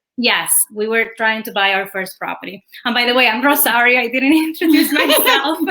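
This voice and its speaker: Someone with a Spanish accent talks at a fairly quick pace with ordinary pitch variation. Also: woman, high pitch for a woman. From Cuba. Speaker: real estate agent. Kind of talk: interview.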